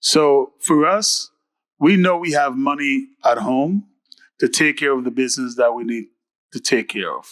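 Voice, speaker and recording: Recorded with a dry, close sound and no echo, a man speaks at a moderate pace in a fairly high voice. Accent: Caribbean. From Caribbean, Antigua. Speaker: mayor / elected official. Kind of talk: panel talk at a town hall.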